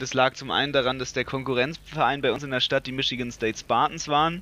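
A man talks in a monotone with flat intonation. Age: 20s. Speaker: podcast co-host, football coach. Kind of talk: casual chat.

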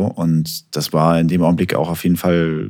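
A man is speaking here. His voice has a very deep, low pitch, and his pace is moderate. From Hamburg, northern Germany. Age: 30s. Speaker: music producer. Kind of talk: casual interview.

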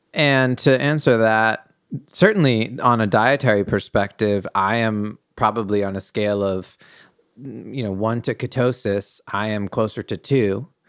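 Speaking with an American accent, a man has an unremarkable speaking voice at medium pitch with ordinary pitch variation. He talks at a fairly slow pace on a very clean recording with a silent background. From New England, US. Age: 30s. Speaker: artist and entrepreneur, host's partner. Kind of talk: casual chat.

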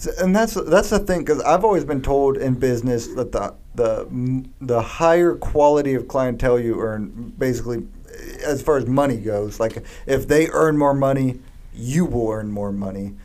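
Audible room echo and noticeable background noise surround the voice. It moves at a moderate pace with lively intonation. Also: man, medium pitch for a man. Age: 20s. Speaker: flooring salesman and podcast co-host. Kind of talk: casual chat. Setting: studio.

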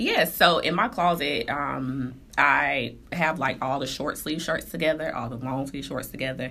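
This woman has an American accent and a very deep, low pitch with vocal fry and a bright, sharp tone. She talks at a moderate pace with ordinary pitch variation. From North Carolina, Durham. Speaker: fashion blogger. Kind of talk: interview.

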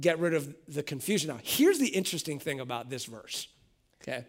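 Here a man talks at a fairly quick pace. The recording is very clean, with a silent background. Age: 40s. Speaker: pastor. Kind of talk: sermon.

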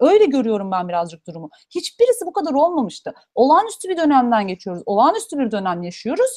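The speech races along at a very fast pace. Loudness swings widely, and the pitch leaps across a very wide range. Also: woman, high pitch for a woman. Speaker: PhD student in genetics. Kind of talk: livestream Q&A chat.

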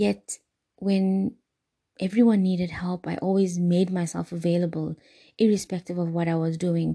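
A woman talks at a moderate pace, her pitch fairly low and her intonation fairly even, in an ordinary speaking voice. The background is quiet. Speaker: podcast host, wellness guide. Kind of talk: guided meditation and self-help talk. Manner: warm, soothing, earnest.

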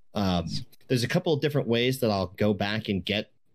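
Speaking at a fairly quick pace with ordinary pitch variation, this voice has an American accent and comes through on a very clean recording with a silent background. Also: man. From US East Coast, Maryland. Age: 30s. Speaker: streamer and musician. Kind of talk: casual interview chat.

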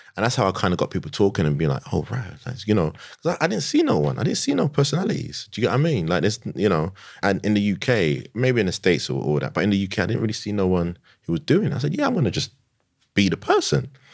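Speaking at a very fast pace in a London accent, a man uses fairly low pitch with very wide pitch swings and vocal fry. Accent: London, Multicultural London English. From London, Tottenham. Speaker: sneaker influencer and digital marketer. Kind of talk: casual interview. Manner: animated.

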